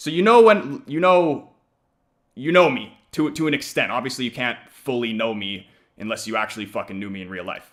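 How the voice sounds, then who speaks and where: In an American accent, a man speaks at medium pitch and a fairly quick pace, with very wide pitch swings and big swings in loudness, on a very clean recording with a silent background. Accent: North American accent noted by others. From Canada. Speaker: football fan streamer. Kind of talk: live watch-along stream chat. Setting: live stream. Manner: casual, rambling with many fillers.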